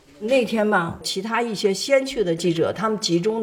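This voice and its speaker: A woman talks with ordinary pitch variation while noticeable background noise carries on. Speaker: retired war correspondent. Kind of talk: interview testimony.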